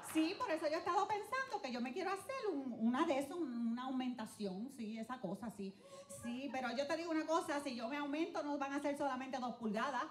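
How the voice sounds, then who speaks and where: A woman with a strong Spanish accent talks at a fairly quick pace and high pitch in an animated tone, with audible room echo and faint music in the background. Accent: thick Spanish accent when speaking English. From Dominican Republic, raised in Puerto Rico. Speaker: comedian. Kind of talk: stand-up. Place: stage. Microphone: handheld.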